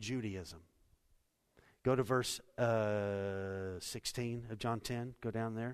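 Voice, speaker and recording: Over a quiet background, a man with an unremarkable speaking voice talks at a medium pitch with fairly even intonation. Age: 50s. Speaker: pastor. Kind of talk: sermon. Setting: church.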